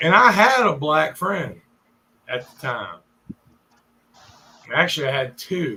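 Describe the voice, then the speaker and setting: A man's high voice with very wide pitch swings, big swings in loudness, and long, frequent pauses. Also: fairly slow pace. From US South, Richmond, Virginia. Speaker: live streamer. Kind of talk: casual storytelling on livestream. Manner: animated.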